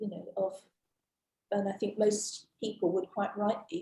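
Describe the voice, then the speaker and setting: A woman's voice is somewhat breathy, with a dark, mellow tone and a medium pitch. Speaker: witness at a public inquiry. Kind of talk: witness testimony. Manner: hesitant, many fillers. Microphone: too quiet, far from mic.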